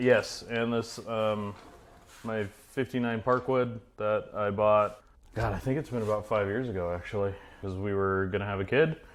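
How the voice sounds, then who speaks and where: This man has an ordinary speaking voice, fairly low in pitch, with an American accent. He talks at a moderate pace with fairly even intonation. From Idaho, US. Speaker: auto body painter and car builder. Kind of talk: casual chat. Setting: garage.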